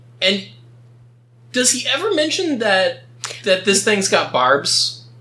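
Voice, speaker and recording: Over noticeable background noise, a man speaks at a very slow pace in a raised, projected voice. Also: long, frequent pauses. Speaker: podcast host. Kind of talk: casual comedic chat reading and recapping stories.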